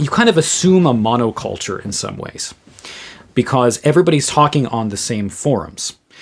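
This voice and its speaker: A man with a New England accent, lively intonation and a moderate pace. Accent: New England American. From US Northeast, Western Massachusetts. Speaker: theologian and podcaster. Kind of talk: solo podcast commentary. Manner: halting, many repeated words and fillers.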